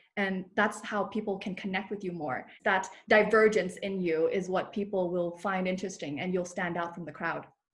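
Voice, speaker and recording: Breathing a little into her words, a woman with a slight Thai accent speaks at a medium pitch and moderate pace, with hardly any pauses and fairly even intonation. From Thailand. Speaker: personal branding coach. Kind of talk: podcast interview.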